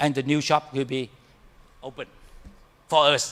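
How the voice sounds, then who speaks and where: A man is heard here. The sound is dry and close, with no echo. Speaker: professor, keynote speaker. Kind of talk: keynote lecture; Q&A answer. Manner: fast; halting, repeats words.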